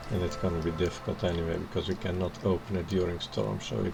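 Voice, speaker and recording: With music in the background, a man with a very deep, low pitch talks at a very fast pace, his pitch swinging very widely. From Netherlands. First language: Dutch. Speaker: video game streamer. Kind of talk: live gameplay commentary.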